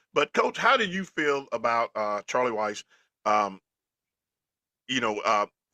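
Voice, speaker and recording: A man with a Southern US accent talks at a fairly slow pace, with long, frequent pauses. The sound is dry and close with no echo. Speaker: football podcast co-host. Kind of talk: casual chat. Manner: loud; animated.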